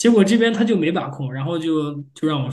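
The voice belongs to a man and is somewhat breathy. Audible room echo surrounds it. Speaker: machine learning engineer, PhD graduate. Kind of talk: interview. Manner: halting.

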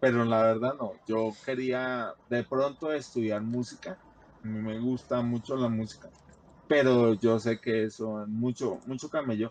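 In a normal speaking voice, a man talks fairly slowly at a medium pitch with fairly even intonation. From Colombia, Bogotá. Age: 40s. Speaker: hypertension patient sharing life story. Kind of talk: testimony.

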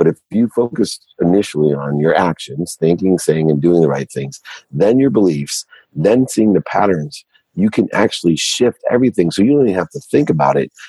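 A man's very deep, low voice with very wide pitch swings, in a dry, close sound with no echo. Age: 50s. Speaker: entrepreneur and CEO. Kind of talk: interview.

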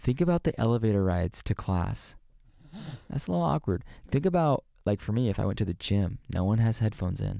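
A man's fairly low, dark, mellow voice with lively intonation at a fairly quick pace, in a very clean recording with a silent background. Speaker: Bible college student. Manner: loud, passionate; animated.

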